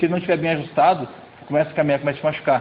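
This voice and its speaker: This recording features a man talking. There is noticeable background noise behind him. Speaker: youth pastor. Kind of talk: sermon.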